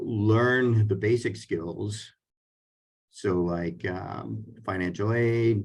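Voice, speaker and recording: A man speaks in a somewhat breathy, fairly low voice. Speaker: career and technical school administrator. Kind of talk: webinar panel presentation. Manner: halting, many fillers.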